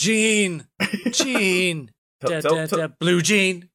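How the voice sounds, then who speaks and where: A man mumbles in a put-on character voice. The pitch is high. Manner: groggy mumbling.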